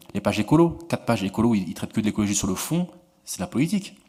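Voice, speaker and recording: A man talks at a medium pitch. His voice swings very widely up and down. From France, Montreuil (Paris suburbs). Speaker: political journalist, author. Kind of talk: Q&A discussion at a book talk. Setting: conference room with audience. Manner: repetitive stammering restarts.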